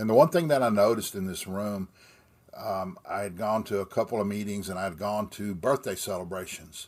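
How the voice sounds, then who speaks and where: Speaking at a fairly quick pace, a man uses a fairly low pitch with ordinary pitch variation. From Texas, Austin. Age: 60s. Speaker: recovering alcoholic sharing his story. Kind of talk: personal testimony. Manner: halting.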